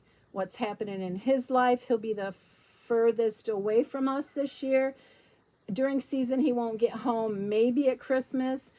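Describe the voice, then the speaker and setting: Fairly high in pitch, a woman speaks in a dark, mellow tone. She keeps a fairly slow pace. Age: 60s. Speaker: podcast host, mother of a large family. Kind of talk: casual monologue. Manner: animated.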